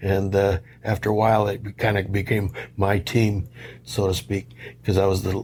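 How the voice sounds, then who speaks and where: A man speaks with a Midwestern American accent at a fairly low pitch. His voice is somewhat breathy, with monotone, flat intonation. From Detroit, Michigan. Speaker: Marine Corps Vietnam veteran. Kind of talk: interview answer.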